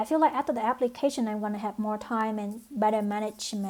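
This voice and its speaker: Her pitch sits fairly high. The woman has a non-native accent. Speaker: nursing program applicant. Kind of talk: application video monologue. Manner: halting, many fillers.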